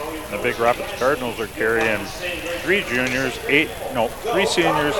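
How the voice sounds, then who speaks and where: A man keeps a moderate pace and medium pitch, varying it in an ordinary way, as noticeable background noise plays behind him. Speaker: color commentator. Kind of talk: live commentary. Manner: relaxed, hesitant with filler words.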